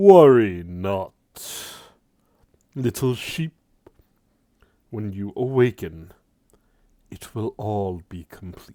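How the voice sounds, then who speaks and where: Booming and fairly low, a man performs a put-on character voice with lively intonation at a very slow pace. The recording is very clean, with a silent background. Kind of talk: theatrical. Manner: ominous, imposing.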